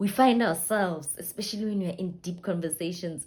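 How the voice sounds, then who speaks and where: The speaker uses ordinary pitch variation and talks with a South African accent. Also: woman. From South Africa, Limpopo. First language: Sepedi (Northern Sotho). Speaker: vlogger, entrepreneur. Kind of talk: personal vlog introduction. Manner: chatty, conversational.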